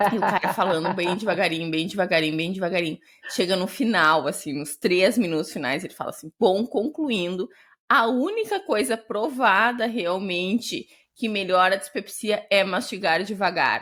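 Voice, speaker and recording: A woman with a southern Brazilian accent speaks at a medium pitch in an animated tone. The recording is very clean, with a silent background. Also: lively intonation. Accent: gaúcho Brazilian Portuguese. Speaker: gastroenterologist, podcast co-host. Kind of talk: casual chat. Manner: fast.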